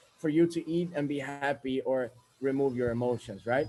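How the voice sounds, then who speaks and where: A man talks with ordinary pitch variation at a moderate pace while music plays in the background. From Sweden. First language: Swedish. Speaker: self-help speaker. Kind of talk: motivational monologue.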